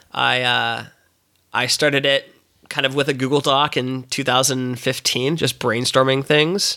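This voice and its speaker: Speaking fairly slowly in a flat monotone, a man of medium pitch is heard on a very clean recording with a silent background. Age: 30s. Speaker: entrepreneur. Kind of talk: casual interview chat.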